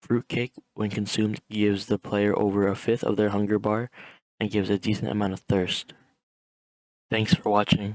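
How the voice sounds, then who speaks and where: A soft-spoken man talks at a fairly quick pace in a fairly low pitch. The sound is dry and close, with no echo. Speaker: gaming guide creator. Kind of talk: tutorial.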